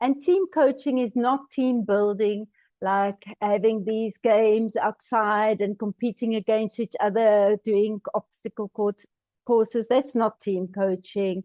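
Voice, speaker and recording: Woman in a South African accent, fairly high-pitched with a dark, mellow tone, very slow and fairly even, in a dry, close sound with no echo over a quiet background. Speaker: team coaching trainer. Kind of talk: webinar presentation.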